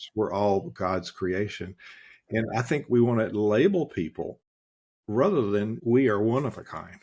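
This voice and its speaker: A normal speaking voice comes from a man with an American accent, set against a quiet background. He talks at a fairly slow pace and medium pitch with ordinary pitch variation. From US South. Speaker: leadership strategist. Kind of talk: interview.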